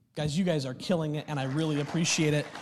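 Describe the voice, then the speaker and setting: Crowd noise fills the background behind an animated tone of speech. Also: man. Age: 30s. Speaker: pastor. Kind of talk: sermon. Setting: church with live audience.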